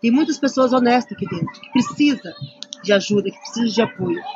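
A fairly quick pace against background noise that is noticeable. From Curitiba region, Paraná, southern Brazil. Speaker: housing activist. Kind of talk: interview testimony.

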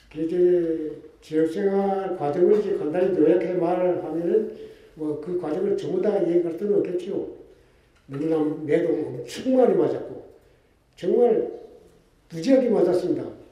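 Long, frequent pauses from a man at a high pitch with ordinary pitch variation, over noticeable background noise. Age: 80s. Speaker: former political prisoner. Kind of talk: speech.

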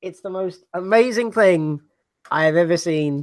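A man's high-pitched voice, fairly slow in pace, with lively intonation. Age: 20s. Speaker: podcast host. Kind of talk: casual chat. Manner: low-energy, subdued.

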